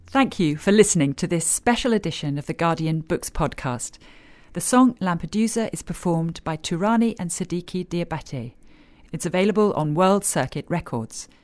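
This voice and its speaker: A woman talks with an ordinary speaking voice, fairly low in pitch, at a moderate pace. Her intonation is lively, and the recording is very clean with a silent background. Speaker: podcast host. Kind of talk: scripted podcast introduction.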